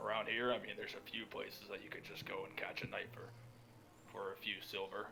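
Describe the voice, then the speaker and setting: Someone in a put-on character voice talks at a very fast pace against clear background noise. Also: man. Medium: actual play.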